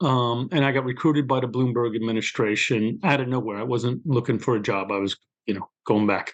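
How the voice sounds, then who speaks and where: Speaking with a Brooklyn accent, a man at medium pitch keeps a moderate pace and ordinary pitch variation. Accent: New York (Brooklyn). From New York City, Brooklyn. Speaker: criminal justice official and author. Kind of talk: interview. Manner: conversational, storytelling.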